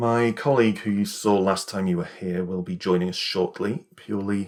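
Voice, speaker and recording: With a British accent, the speaker moves along at a moderate pace. The tone is serious and calm. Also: man. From England. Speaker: ASMR creator roleplaying an optometrist. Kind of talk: ASMR roleplay, eye exam. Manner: serious, matter-of-fact, slightly brisk yet calm.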